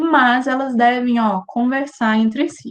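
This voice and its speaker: A woman's pitch shifts in an ordinary way, with a quiet background behind her. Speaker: university lecturer. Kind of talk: lecture. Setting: video call.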